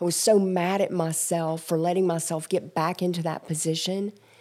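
A woman with an American accent speaks at a moderate pace. Her pitch is fairly low, and there is noticeable background noise. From Georgia, US South. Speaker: recovery center staff and former addict. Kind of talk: testimony.

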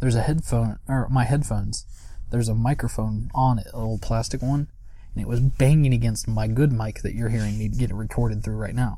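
The speech moves at a fairly quick pace in an American accent. Room echo is audible. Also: man. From US, West Virginia. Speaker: podcast co-presenter. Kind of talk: casual chat.

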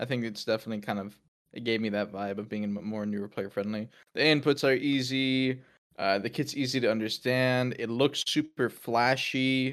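Against a quiet background, a man with a plain, everyday voice talks at a moderate pace and medium pitch with fairly even intonation. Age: 20s. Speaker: video game community manager. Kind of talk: casual chat.

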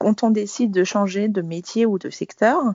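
A woman at a fairly slow pace, medium in pitch, with ordinary pitch variation. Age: 40s. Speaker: career changer, former corporate manager. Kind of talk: interview testimony. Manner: halting, many fillers and repetitions.

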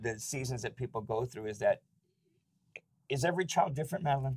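A man talks in a somewhat breathy voice at a medium pitch with ordinary pitch variation. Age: 50s. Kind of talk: casual devotional talk. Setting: studio.

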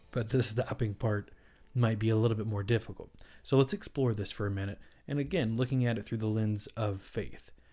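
Music plays in the background as a man with an American accent speaks at a fairly quick pace. His pitch is medium and his intonation fairly even. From US South. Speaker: dietitian and podcast host. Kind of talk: solo educational podcast.

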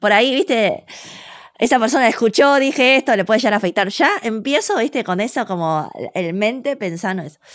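A woman talks in a plain, everyday voice. Her pitch is fairly high and her intonation lively. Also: fairly quick pace. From Argentina (born in China, raised from small child). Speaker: cook and food communicator. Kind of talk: interview conversation.

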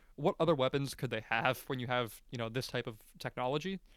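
A man with an unremarkable speaking voice talks at a fairly quick pace, his pitch medium with ordinary variation. The sound is dry and close, with no echo. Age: 20s. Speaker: podcast host. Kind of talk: casual chat.

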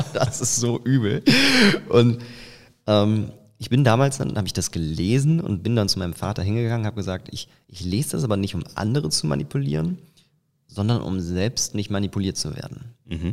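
A man speaks at a moderate pace with a dark, mellow tone and lively intonation. He leaves long, frequent pauses. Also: fairly low pitch for a man. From Eifel, western Germany. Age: 20s. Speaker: business coach and facial expression trainer. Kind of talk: casual interview. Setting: outdoors on location. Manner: frequent fillers (ähm).

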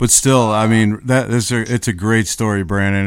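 This man has an unremarkable speaking voice with an American accent, fairly low in pitch and fairly even in intonation. He speaks at a moderate pace in a very clean recording with a silent background. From Buffalo, New York. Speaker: radio DJ and former tour manager. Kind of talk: casual interview chat.

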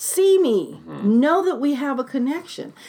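A woman with an American accent speaks at a very slow pace in a high pitch. Her pitch swings very widely. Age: 60s. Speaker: community organizer and talk series host. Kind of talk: casual interview conversation.

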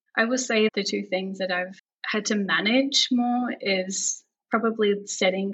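An Australian accent from a woman, with fairly even intonation. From Melbourne, Australia. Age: 30s. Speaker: pregnant podcast guest. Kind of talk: casual interview.

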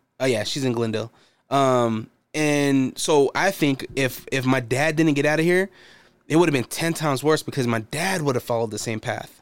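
In an American accent, a man with an unremarkable speaking voice talks at a moderate pace, fairly high in pitch with ordinary pitch variation. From United States. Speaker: returning former podcast co-host. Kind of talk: casual chat.

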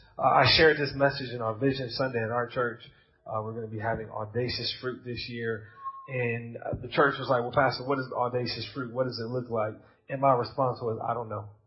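A man with an American accent at a fairly quick pace, with audible room echo. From United States. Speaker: pastor. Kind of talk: sermon. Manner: animated.

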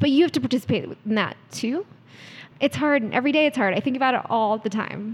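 A woman's high pitch at a fairly quick pace with ordinary pitch variation. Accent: American. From US East Coast, DC area. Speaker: startup CEO. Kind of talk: interview.

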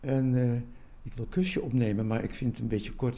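The tone is dark and mellow. The pitch swings very widely. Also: man. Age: 70s. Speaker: poet. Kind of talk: casual chat. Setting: at his home.

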